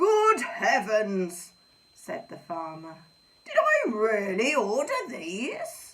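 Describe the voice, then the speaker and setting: A woman does a put-on character voice in a high pitch. She goes at a very slow pace. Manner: shocked, startled.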